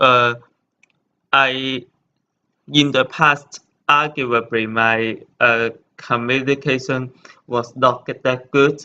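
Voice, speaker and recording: A man with a Chinese accent, bright and sharp in tone, monotone and flat, very slow with long, frequent pauses. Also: medium pitch for a man. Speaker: hotel intern. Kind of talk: presentation. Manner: halting, many fillers.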